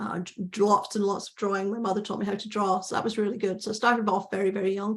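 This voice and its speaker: A woman talks at a medium pitch, and background noise is noticeable throughout. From Scotland, Glasgow. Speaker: painter and workshop teacher. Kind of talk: interview.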